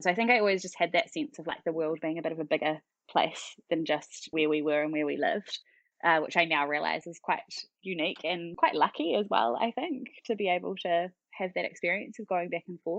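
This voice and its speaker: Speaking with a New Zealand accent, a woman uses a fairly low pitch. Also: ordinary pitch variation, fairly quick pace. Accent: typical New Zealand. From New Zealand, central Auckland. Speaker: parenting educator, business founder. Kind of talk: podcast interview. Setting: podcast.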